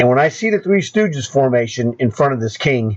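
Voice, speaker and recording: Noticeable background noise runs under the clip. A man talks in a medium pitch. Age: 60s. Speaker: chess coach. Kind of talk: tutorial. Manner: animated.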